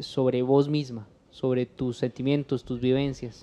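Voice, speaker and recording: Speech at a moderate pace carries a dark, mellow tone and fairly even intonation. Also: man. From Costa Rica, Cartago; Costa Rica. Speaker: podcast host. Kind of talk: casual interview. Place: home room. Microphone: studio mic.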